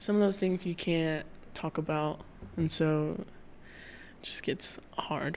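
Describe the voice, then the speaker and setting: Speaking at a very slow pace, a woman with an American accent has a fairly low pitch. Her tone is dark and mellow. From US South, South Carolina. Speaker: podcast co-host. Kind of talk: casual chat.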